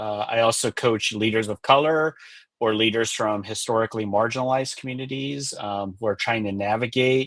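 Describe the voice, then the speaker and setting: Against a quiet background, a man with a Californian accent talks at a fairly quick pace and a medium pitch, his intonation fairly even. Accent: Californian American English. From US West Coast, Los Angeles. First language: Spanish. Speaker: executive coach and author. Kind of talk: interview on a live webinar.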